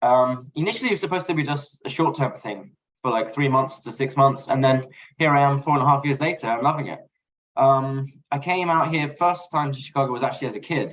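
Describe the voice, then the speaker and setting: This voice carries a London accent. It moves at a fairly quick pace. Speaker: podcast guest, basketball fan. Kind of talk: casual chat.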